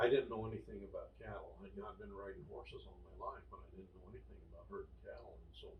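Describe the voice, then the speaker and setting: There is audible room echo around a man with an American accent. He speaks at a fairly quick pace. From US West, rural Nevada. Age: 70s. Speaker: grandfather telling life stories. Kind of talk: casual interview, storytelling.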